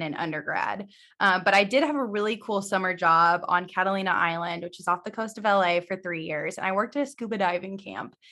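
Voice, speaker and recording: A woman's bright, sharp voice at medium pitch, with a Midwestern American accent. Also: very clean recording, silent background. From Missouri, US Midwest. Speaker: vestibular audiologist. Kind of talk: casual interview.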